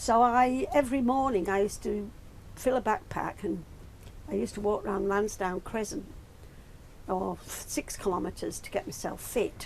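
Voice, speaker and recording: Noticeable background noise runs under a woman speaking at a moderate pace, with long, frequent pauses. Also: medium pitch for a woman, ordinary pitch variation. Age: 80s+. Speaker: retired traveller recalling a pilgrimage. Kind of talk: interview, personal reminiscence. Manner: hesitant, with fillers and restarts.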